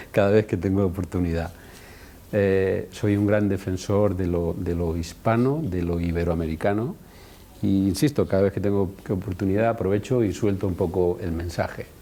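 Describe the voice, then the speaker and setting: A man's very deep, low voice with a dark, mellow tone, ordinary pitch variation and a moderate pace. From Spain, Madrid region (Alcalá de Henares), born in Andalusia. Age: 60s. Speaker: osteopathy school director, physiotherapist. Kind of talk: interview. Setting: in Guadalajara, Mexico, at a university.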